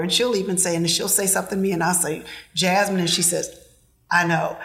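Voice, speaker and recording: Amid noticeable background noise, a woman at a medium pitch speaks very fast. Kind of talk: casual chat.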